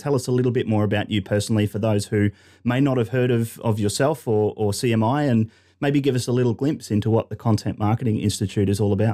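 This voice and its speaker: In a very clean recording with a silent background, a man talks very fast at a medium pitch with a dark, mellow tone and normal pitch movement. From Australia. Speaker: podcast host, marketing company CEO. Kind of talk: interview.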